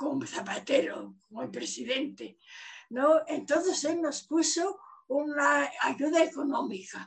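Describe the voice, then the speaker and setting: Speaking at a very slow pace, a woman uses a high pitch with ordinary variation. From Asturias, Spain (Gijón); raised in the Soviet Union from age 9. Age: 90s. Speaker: retired professor. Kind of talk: testimony.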